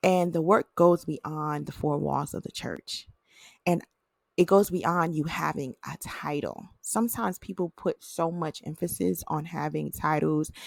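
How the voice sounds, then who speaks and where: A woman with an American accent and an unremarkable speaking voice, fairly low in pitch, at a fairly slow pace with ordinary pitch variation, in a dry, close sound with no echo on a very clean recording over a silent background. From northern US. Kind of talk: faith podcast monologue. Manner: casual, uses many fillers.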